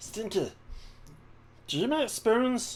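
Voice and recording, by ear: The voice sits fairly high. It is a put-on character voice.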